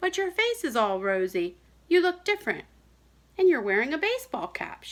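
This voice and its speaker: Putting on a character voice, a woman speaks at an extremely high pitch and moderate pace with very wide pitch swings. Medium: read story.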